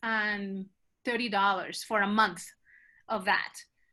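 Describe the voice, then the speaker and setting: A woman speaks in a bright, sharp tone. Her pace is fairly slow. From Colombia. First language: Spanish. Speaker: choir director. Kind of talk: conference presentation Q&A.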